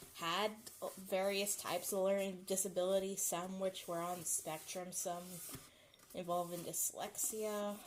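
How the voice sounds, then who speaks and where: A mumbling woman at medium pitch, with fairly even intonation and a fairly slow pace. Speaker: live streamer. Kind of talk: casual chat. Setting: home kitchen.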